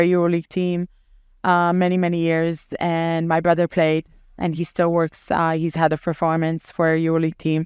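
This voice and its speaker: A woman with an Israeli accent speaks at a moderate pace in a fairly low, monotone voice with flat intonation, the sound dry and close with no echo on a very clean recording with a silent background. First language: Hebrew. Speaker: basketball team general manager. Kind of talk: casual interview. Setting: podcast. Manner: hesitant, many fillers.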